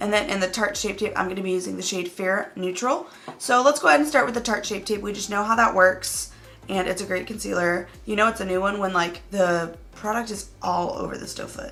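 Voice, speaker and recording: A woman speaks at a fairly quick pace. Music plays in the background, and the room echo is audible. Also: medium pitch for a woman, ordinary pitch variation. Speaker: beauty YouTuber. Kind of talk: makeup review tutorial.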